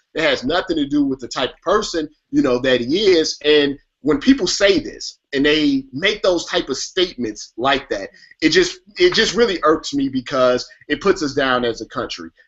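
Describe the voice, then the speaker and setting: At a moderate pace, a man with a fairly high voice talks with lively intonation. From US Midwest. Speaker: sports web show host. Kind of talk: casual sports talk show. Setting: live online show.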